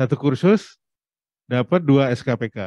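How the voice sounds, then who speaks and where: In a dry recording with no echo and a quiet background, a man talks with a dark, mellow tone and ordinary pitch variation. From Indonesia. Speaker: presenter and platform CEO; presenter. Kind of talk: presentation to an audience. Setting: hybrid event with Zoom participants. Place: hall. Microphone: handheld.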